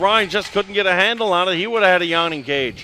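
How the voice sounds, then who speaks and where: Moving at a moderate pace, a man's raised, projected voice is high in pitch with a bright, sharp tone and ordinary pitch variation. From Newfoundland. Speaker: play-by-play announcer. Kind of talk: live commentary.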